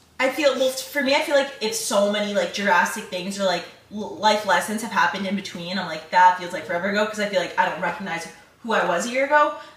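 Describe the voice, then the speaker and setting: A woman's very fast, lively speech with audible room echo and noticeable background noise. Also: medium pitch for a woman. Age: 20s. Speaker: podcast co-host; college student. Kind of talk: casual chat.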